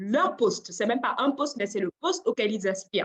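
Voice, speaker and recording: A woman talks loudly at a moderate speed, her high voice moving in lively intonation. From Cameroon. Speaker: job search coach and adult trainer. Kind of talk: webinar presentation. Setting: online webinar. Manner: laughs often.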